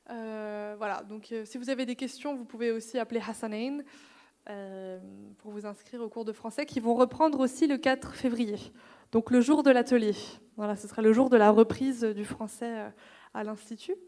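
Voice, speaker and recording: At a moderate pace, a woman with a fairly high, dark, mellow voice keeps her intonation fairly even while her loudness swings widely and she takes long, frequent pauses. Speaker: cultural institute staff presenting programs. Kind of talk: information session presentation. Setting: institute event, streamed live.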